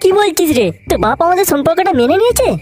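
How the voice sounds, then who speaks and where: In a cartoonish character voice, the speaker talks very fast at an extremely high pitch. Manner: nervous, stammering.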